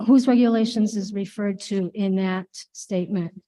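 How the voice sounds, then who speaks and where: This woman's medium-pitched voice has a dark, mellow tone and a fairly even intonation. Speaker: public commenter at school board meeting. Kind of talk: public comment at board meeting. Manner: usually loud. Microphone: hard to hear, feedback, poor clarity.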